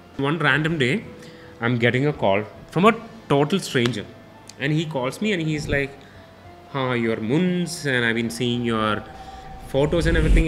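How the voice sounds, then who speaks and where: Faint background music under a man speaking at a moderate pace. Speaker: guest. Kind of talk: interview answer, storytelling. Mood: warm, amused storytelling. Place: studio. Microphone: studio mic.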